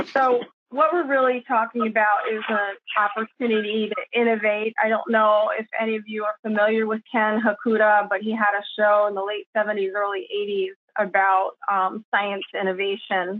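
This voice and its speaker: At a moderate pace, a woman with a plain, everyday voice speaks at a fairly high pitch and with fairly even intonation. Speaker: roofing sustainability consultant. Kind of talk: presentation. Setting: video call.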